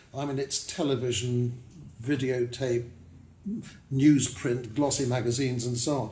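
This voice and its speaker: Audible room echo follows a man as he talks at a moderate speed. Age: 70s. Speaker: hotel owner. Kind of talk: interview. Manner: hesitant with fillers.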